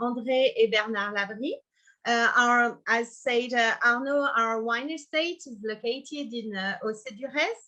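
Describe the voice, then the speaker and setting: In a strong French accent, a woman speaks at a fairly slow pace and a high pitch, with ordinary pitch variation. Her tone is bright and sharp, and the background is quiet. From Burgundy, France. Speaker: winemaker. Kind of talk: presentation of her wine estate. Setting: online video session. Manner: hesitant.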